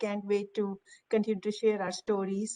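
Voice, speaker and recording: A woman with an Indian accent speaks at a fairly high pitch. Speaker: technology executive. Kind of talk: panel discussion.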